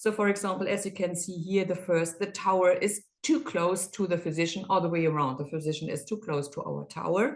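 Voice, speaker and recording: A woman with a German accent speaks at a fairly quick pace, her medium pitch showing ordinary variation. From Germany. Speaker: endoscopy reprocessing specialist. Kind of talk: webinar presentation. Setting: online webinar. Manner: halting.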